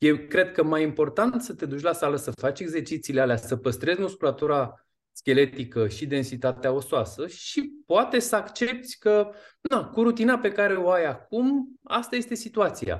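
Over a quiet background, a man speaks at a high pitch and a moderate pace with very wide pitch swings. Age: 40s. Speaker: fitness and nutrition coach. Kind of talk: interview.

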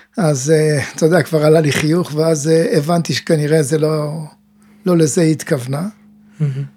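A man speaks at a fairly high pitch with a dark, mellow tone, very even loudness and fairly even intonation. His pace is moderate, broken by long, frequent pauses. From Israel, kibbutz. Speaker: mental coach and teacher. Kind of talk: casual chat. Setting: studio.

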